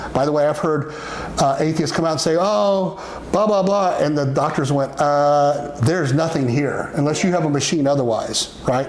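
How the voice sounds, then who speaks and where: Noticeable background noise and audible room echo surround a man with a fairly high pitch. He talks at a moderate pace with ordinary pitch variation. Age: 60s. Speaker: religious talk show host teaching about the afterlife. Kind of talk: casual teaching chat. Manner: halting, many fillers and restarts.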